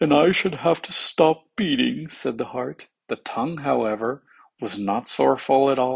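Behind the speaker, all is quiet. The delivery is an unforced reading voice.

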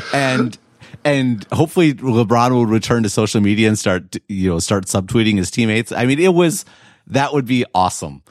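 A man with an American accent speaks at a medium pitch and a fairly quick pace. His intonation is lively and his loudness very even. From Wisconsin, US Midwest. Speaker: tech writer and podcast host. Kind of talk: casual chat. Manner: halting, many repeated words.

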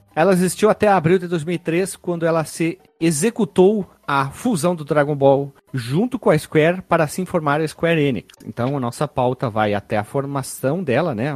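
A man's fairly high voice at a moderate pace, lively in intonation, with a dry, close sound and no echo. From Rio Grande do Sul, Brazil (Caxias do Sul). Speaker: podcast host. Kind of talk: casual chat.

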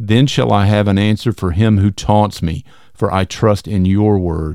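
Fairly low in pitch, a man speaks with a dark, mellow tone. His pace is fairly slow, on a very clean recording with a silent background. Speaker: podcast host. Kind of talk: scripture reading aloud, devotional. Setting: solo recording. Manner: slow, measured, reverent.

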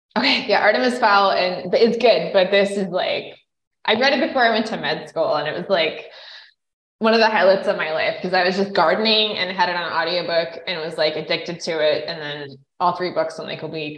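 A woman with an American accent speaks at a fairly quick pace in a medium pitch, her loudness swinging widely, with audible room echo. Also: ordinary pitch variation. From central Idaho, US. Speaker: physician and environmental entrepreneur. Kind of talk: interview. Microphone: unstable internet connection, breakups.

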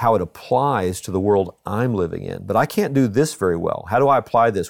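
A man with a Texan accent, fairly low-pitched, with ordinary pitch variation, a fairly quick pace and hardly any pauses, on a very clean recording with a silent background. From Texas. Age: 60s. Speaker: pastor. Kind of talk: casual chat.

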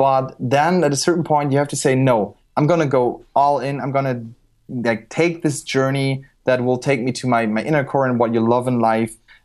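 Man with a German accent at medium pitch and a moderate pace, on a very clean recording with a silent background. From Germany. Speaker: street photographer. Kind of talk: interview. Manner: animated.

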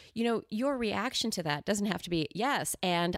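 An unremarkable speaking voice from a woman, medium-pitched with lively intonation at a fairly slow pace, on a very clean recording with a silent background and a dry, close sound with no echo. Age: 40s. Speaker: improv teacher and coach. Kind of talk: interview conversation. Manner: laughs often.

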